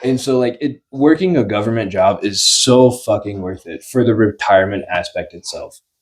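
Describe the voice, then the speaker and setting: A man's medium-pitched voice with hardly any pauses, big swings in loudness and ordinary pitch variation. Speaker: podcast co-host. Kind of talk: casual chat. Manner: fast; animated.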